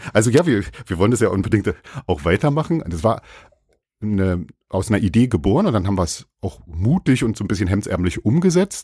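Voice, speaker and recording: Fairly low-pitched and somewhat breathy, a man talks at a fairly quick pace with a dark, mellow tone and very wide pitch swings. The recording is very clean and the background silent. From Brandenburg, Germany. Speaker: online car marketplace marketing manager. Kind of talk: casual interview chat. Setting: guest's company office.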